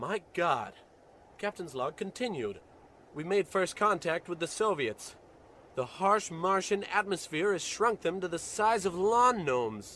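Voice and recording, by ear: A man's put-on character voice, high-pitched with big swings, a bright, sharp tone and a fairly slow pace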